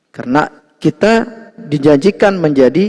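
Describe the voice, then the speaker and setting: Very slowly, a man speaks with lively intonation. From Lombok, Indonesia. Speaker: Islamic religious teacher. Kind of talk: religious lecture. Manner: conversational, frequent 'ya' fillers.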